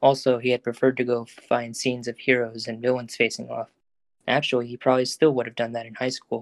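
The background stays quiet. A reader uses an unforced voice.

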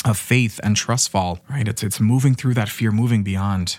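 A man speaks at a medium pitch. He is soft-spoken and moves at a fairly quick pace. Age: 20s. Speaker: podcast host and life coach. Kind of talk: motivational monologue. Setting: solo recording. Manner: casual, frequent laughter.

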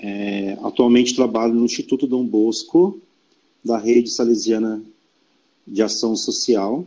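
Here a man talks at a fairly slow pace with long, frequent pauses. His dark, mellow tone sits at medium pitch and varies in the ordinary way. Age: 40s. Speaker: educator and church volunteer. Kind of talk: casual interview.

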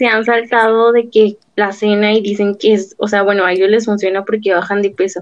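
In a Mexican accent, a woman speaks with a fairly high pitch and fairly even intonation. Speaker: podcast co-host. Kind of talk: casual interview.

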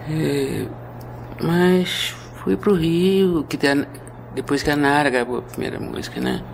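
Over noticeable background noise, a woman speaks at a fairly slow pace. She leaves long, frequent pauses. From Rio de Janeiro, Brazil (raised partly in Minas Gerais). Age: 70s. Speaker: composer and pianist. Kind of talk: interview. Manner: halting.

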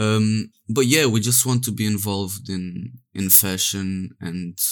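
A man's fairly low voice in a Portuguese accent at a very slow pace, on a very clean recording with a silent background. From Portugal. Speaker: 3D artist and NFT project co-founder. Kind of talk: casual interview.

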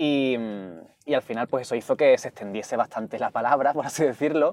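A man at medium pitch with an Andalusian accent. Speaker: activist and writer. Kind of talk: casual chat. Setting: in a car. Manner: fast.

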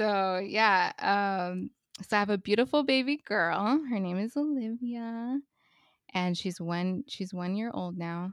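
A woman with an American accent has a normal speaking voice at medium pitch, with ordinary pitch variation and a fairly slow pace. The sound is dry and close with no echo over a quiet background. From US West Coast, Los Angeles. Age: 30s. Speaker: podcast host, mother. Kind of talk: casual chat.

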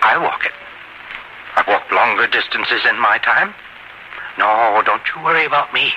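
This man speaks at a fairly slow pace. There is noticeable background noise. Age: old. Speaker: radio drama actor.

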